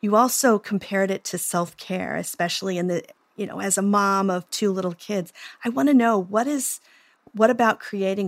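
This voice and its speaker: In a plain, everyday voice, a woman with an American accent speaks at a moderate pace and medium pitch, with ordinary pitch variation and big swings in loudness, on a very clean recording with a silent background. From Oklahoma, US. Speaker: psychotherapist and podcast host. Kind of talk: interview conversation.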